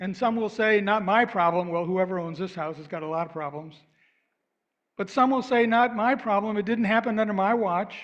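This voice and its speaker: Pitched high, a man's voice moves along at a fairly quick pace. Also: ordinary pitch variation. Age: 70s. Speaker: minister. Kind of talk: sermon.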